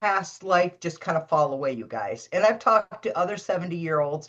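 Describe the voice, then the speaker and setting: The woman's voice sits at a medium pitch. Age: 70s. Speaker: psychic reader with online channel. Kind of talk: casual chat.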